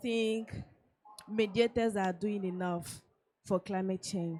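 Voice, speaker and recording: In a French accent, a woman speaks at a medium pitch with ordinary pitch variation. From Togo. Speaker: audience member. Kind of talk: audience question. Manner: halting.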